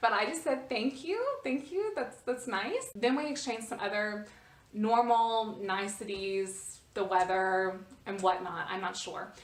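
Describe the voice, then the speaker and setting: With an American accent, a woman speaks in a fairly high pitch at a fairly slow pace. Her pitch varies an ordinary amount, and the room echo is audible. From United States. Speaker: vlogger. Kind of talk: casual storytelling vlog. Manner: hesitant, many fillers and repetitions.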